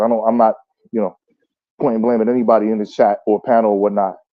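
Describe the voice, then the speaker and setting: A man speaks at a very fast pace with a New Jersey accent. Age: 30s. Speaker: caller on a live chat panel. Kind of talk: casual chat. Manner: halting, repeats words.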